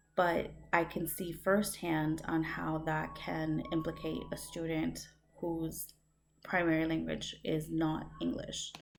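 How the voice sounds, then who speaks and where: In a very slow pace, a woman talks with audible room echo around her voice. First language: Spanish. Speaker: student. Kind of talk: recorded course reflection. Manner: hesitant, many fillers.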